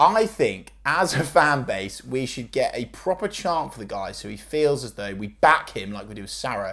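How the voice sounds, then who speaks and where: A man's voice with vocal fry swings very widely in pitch and heavily in loudness, captured in a very clean recording against a silent background. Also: moderate pace. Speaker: football podcast host. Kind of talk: casual banter.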